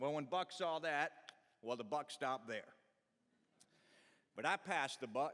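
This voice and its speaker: A man with an Appalachian accent speaks at a fairly slow pace, his bright, sharp tone moving with ordinary pitch variation. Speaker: storyteller. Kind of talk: tall tale storytelling performance. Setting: live stage. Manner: humorous, folksy.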